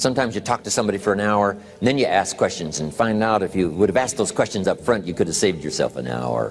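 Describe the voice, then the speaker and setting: Over music in the background, a man with a fairly low pitch speaks with lively intonation. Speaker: motivational speaker. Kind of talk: motivational speech / sales training seminar talk.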